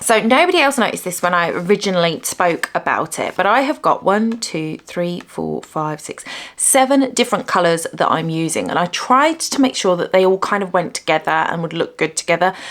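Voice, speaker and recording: Over noticeable background noise, a speaker with a British accent talks at a fairly quick pace, in an animated tone with lively intonation. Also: woman, medium pitch for a woman, hardly any pauses. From UK. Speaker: crochet YouTuber. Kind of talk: casual vlog talk to camera. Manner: chatty, animated.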